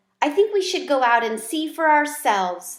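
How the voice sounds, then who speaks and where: In a put-on character voice, a woman speaks at a moderate pace with a gentle tone, a high pitch and very wide pitch swings. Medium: read story. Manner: gentle, encouraging.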